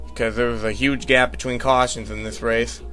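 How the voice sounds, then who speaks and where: Fairly quick speech from a man over background music. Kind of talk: amateur race commentary over video game footage.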